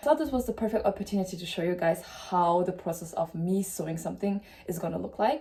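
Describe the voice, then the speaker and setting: A woman with a German accent speaks at a very fast pace. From Germany. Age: 20s. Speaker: sewing content creator. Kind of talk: casual vlog.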